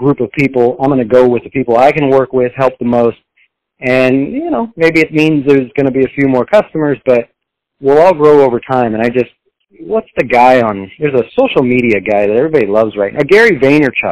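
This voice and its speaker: An ordinary speaking voice with ordinary pitch variation, in an American accent. The pace is fairly quick, and the sound is dry and close with no echo. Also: man, medium pitch for a man. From Texas. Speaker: financial planner. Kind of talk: interview conversation.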